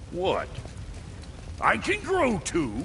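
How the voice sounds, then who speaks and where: Clear background noise sits behind a man doing a put-on character voice. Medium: short film. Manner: gruff, sarcastic.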